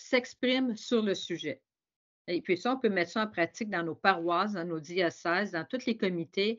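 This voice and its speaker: Speaking with a Quebec accent, a woman uses lively intonation at medium pitch and a moderate pace. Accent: Québécois French. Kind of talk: webinar talk. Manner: hesitant, with many repetitions.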